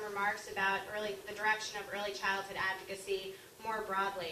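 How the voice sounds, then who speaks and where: A woman's medium-pitched voice with an American accent at a moderate pace, with noticeable background noise and audible room echo. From Long Island, New York. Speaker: author and early childhood teacher. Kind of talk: speech. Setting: luncheon talk with audience and microphone. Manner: loud.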